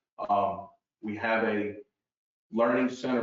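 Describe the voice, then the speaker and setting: The man speaks at a fairly slow pace. His intonation is monotone and flat, and there is audible room echo. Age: 60s. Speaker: golf teacher. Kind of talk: interview.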